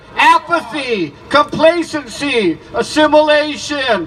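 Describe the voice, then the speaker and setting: A man's raised, projected voice comes through at a very slow pace over noticeable background noise. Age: 70s. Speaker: activist speaker at a rally. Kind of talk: protest rally speech. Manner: animated; halting.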